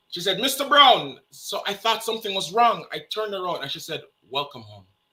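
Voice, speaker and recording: Raising and projecting his voice in a Jamaican accent, a man speaks at a high pitch and a fairly quick pace, with very wide pitch swings and big swings in loudness. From Jamaica, Kingston. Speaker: interview guest. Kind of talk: casual interview. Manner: repetitive stammering starts.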